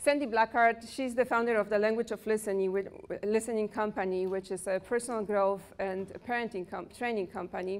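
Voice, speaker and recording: With a Polish accent, a woman speaks at a fairly high pitch and a fairly quick pace. There are hardly any pauses. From Poland. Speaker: personal development coach. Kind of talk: workshop talk. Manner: animated.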